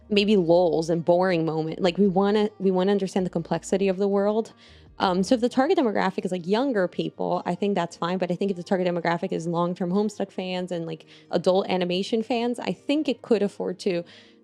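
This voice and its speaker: Over music in the background, a woman speaks at a very fast pace in a dry, close sound with no echo. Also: medium pitch for a woman, ordinary pitch variation. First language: not English. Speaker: vtuber and stand-up comedian. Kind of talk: casual commentary to camera.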